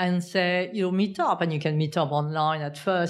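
Flat and monotone in her intonation, a woman talks with a non-native accent. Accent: foreign-accented English. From outside the UK. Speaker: business co-founder and accountant. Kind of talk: interview.

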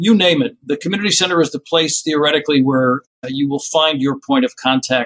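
Dry and close with no echo, the clip has a man talking at a fairly quick pace in a fairly high pitch. His is a normal speaking voice with ordinary pitch variation. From US Northeast, northern New Jersey. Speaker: nonprofit executive. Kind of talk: interview.

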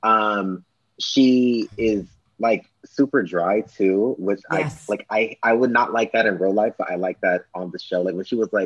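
With an American accent, a man speaks in a plain, everyday voice, fairly low in pitch and fairly even in intonation. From Los Angeles. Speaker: podcast guest. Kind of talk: casual chat.

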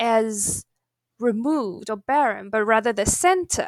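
In a Chinese accent, a woman speaks at a fairly slow pace and a fairly high pitch with lively intonation. The very clean recording has a silent background and a dry, close sound with no echo. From China. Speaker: podcast interviewer, academic. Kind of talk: academic interview. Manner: halting, many fillers.

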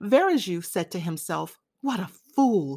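A woman speaks at a very slow pace with very wide pitch swings. The sound is dry and close, with no echo. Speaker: audiobook narrator. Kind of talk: reading aloud.

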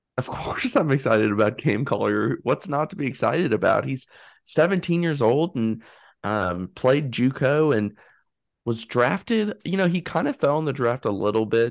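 A man talks at a moderate pace in a normal speaking voice with lively intonation. The background is quiet. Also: medium pitch for a man. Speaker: co-host. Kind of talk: casual chat.

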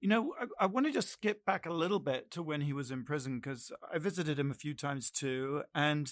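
A plain, everyday voice with ordinary pitch variation moves at a moderate pace on a very clean recording with a silent background and a dry, close sound with no echo. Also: man. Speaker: co-host. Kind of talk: casual interview chat.

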